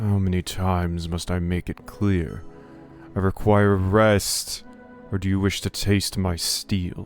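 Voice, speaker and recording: A man's put-on, growling character voice at a very deep, low pitch, with monotone, flat intonation, a fairly slow pace and clear music in the background. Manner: irritated, threatening.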